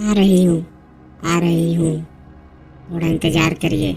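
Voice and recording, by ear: Putting on a cartoonish character voice, a woman at a fairly low pitch talks at a moderate pace in a monotone, flat intonation with music in the background.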